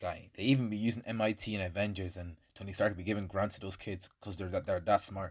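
With a slight Irish accent, a man talks at a very fast pace with hardly any pauses, using a fairly low pitch and an animated tone. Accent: Irish English, lighter, with African heritage. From Ireland. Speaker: podcast host. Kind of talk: casual chat.

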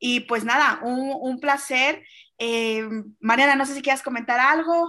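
Raised and projected, a woman's high-pitched voice carries a bright, sharp tone with fairly even intonation at a fairly slow pace. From Mexico. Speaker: podcast host. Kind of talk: interview.

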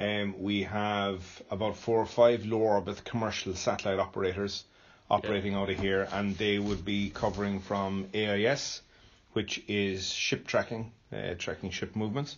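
Speaking in an Irish accent, a man uses a fairly low pitch and flat, monotone intonation at a moderate pace. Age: 50s. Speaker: space centre chief executive. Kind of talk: interview. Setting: on site at space centre.

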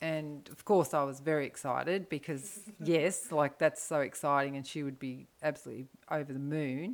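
Speaking at a moderate pace with an Australian accent, a woman with a very deep, low voice shows ordinary pitch variation and big swings in loudness. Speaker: mother of podcast hosts. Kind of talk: casual interview.

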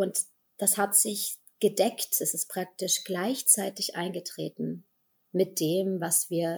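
Somewhat breathy, a woman's medium-pitched voice holds fairly even intonation. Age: 30s. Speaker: healer and actress. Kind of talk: interview about grief.

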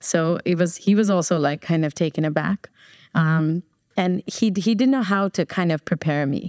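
A woman with an American accent speaks at a fairly low pitch and a moderate pace, with ordinary pitch variation, very even loudness and an ordinary speaking voice. The recording is very clean with a silent background, the sound dry and close with no echo. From New Jersey, US. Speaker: business owner. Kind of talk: casual chat.

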